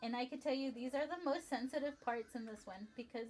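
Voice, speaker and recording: Here a woman speaks with a Spanish accent at a high pitch. Her pace is fairly quick. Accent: Spanish accent, noticeable. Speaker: livestreamer building toy sets. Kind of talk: casual livestream chat. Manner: chatty, with frequent fillers and self-corrections.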